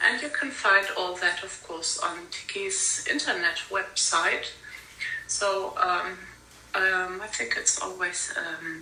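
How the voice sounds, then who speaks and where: A woman talks very slowly, with audible room echo and noticeable noise in the background. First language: not English. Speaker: conference speaker on industrial heritage. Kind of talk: conference talk. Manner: halting, many fillers.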